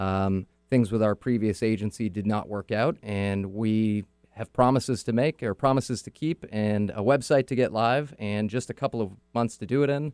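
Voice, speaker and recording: With an American accent, a man speaks at a fairly low pitch and moderate pace, with ordinary pitch variation, in a dry, close recording with no echo. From Northern California (Auburn, near Sacramento). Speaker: branding agency founder. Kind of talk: radio interview.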